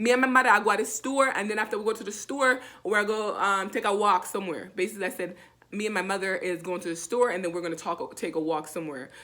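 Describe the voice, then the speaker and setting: A woman with a Jamaican accent, very fast pace and ordinary pitch variation. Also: medium pitch for a woman. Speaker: language teacher. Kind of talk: tutorial. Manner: casual, repetitive.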